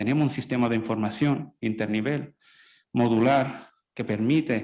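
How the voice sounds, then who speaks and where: A man speaks in a strong Andalusian accent. His pitch sits in the medium range with ordinary variation. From Italy. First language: Italian (speaking Spanish). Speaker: public health specialist, panelist. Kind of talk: panel discussion.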